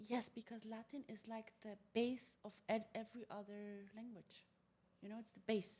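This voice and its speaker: With a dark, mellow tone and a fairly high pitch, the woman sounds somewhat breathy and shows big swings in loudness. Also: moderate pace. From Germany, Polish parents. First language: Polish. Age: 20s. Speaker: multilingual entrepreneur. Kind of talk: podcast interview. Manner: animated.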